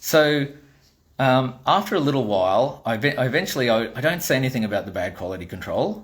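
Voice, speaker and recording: A man with a strong Australian accent, a medium pitch, very wide pitch swings and a fairly quick pace. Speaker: toy maker and vlogger. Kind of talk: casual storytelling monologue. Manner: animated.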